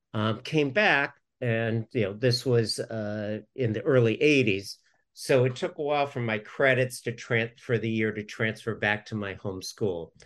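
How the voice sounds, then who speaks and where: Against a quiet background, a man with an American accent speaks at a fairly slow pace in an unremarkable speaking voice, medium-pitched with ordinary pitch variation. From Southern California. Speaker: business development consultant. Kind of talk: casual interview.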